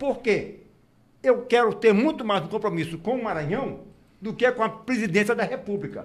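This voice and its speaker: The speaker is a man. He talks at a moderate pace. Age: 70s. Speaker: gubernatorial candidate. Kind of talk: radio interview.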